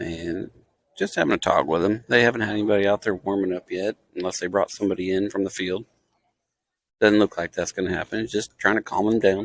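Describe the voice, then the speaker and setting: A soft-spoken man with a fairly low pitch, very fast pace and fairly even intonation, in a very clean recording with a silent background and a dry, close sound with no echo. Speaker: amateur livestream commentator. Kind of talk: live commentary. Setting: in the stands at a baseball game. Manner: quiet, soft-spoken.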